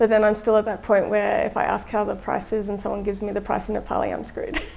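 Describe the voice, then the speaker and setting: A woman with an Australian accent at a very fast pace. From Australia (Melbourne). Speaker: designer and volunteer traveller. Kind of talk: testimonial interview. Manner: casual with frequent filler words.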